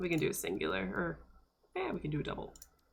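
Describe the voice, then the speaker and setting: A woman talks at a very fast pace, with audible room echo. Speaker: game streamer. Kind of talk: live gameplay stream chat. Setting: live stream. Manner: casual, rambling with fillers.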